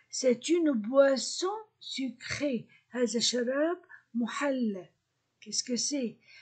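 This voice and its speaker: With an Arabic accent, a woman talks at a very slow pace in a high pitch, using lively intonation and long, frequent pauses. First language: Arabic (speaking French). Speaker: French teacher. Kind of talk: language lesson.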